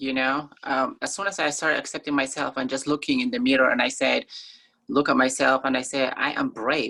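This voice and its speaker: A woman with an African accent speaks at a fairly quick pace. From Somalia, grew up in Kenya refugee camp. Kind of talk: interview. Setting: video call.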